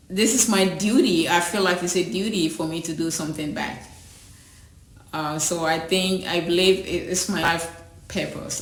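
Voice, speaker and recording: With noticeable background noise and audible room echo, a woman talks at a moderate pace. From Ghana, rural village. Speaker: school founder. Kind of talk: personal testimony interview. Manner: halting, repeats words.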